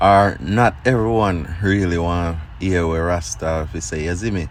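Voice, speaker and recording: Audible room echo surrounds a man with a Jamaican accent who speaks at a fairly slow pace with ordinary pitch variation. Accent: Jamaican Patois. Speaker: Rastafarian commentator. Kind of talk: casual discussion.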